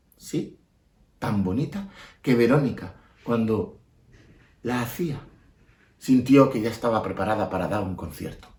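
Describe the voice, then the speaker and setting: A somewhat breathy man's voice at medium pitch, fairly slow in pace, with long, frequent pauses and lively intonation. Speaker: storyteller. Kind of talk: children's storytelling. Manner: expressive, repetitive.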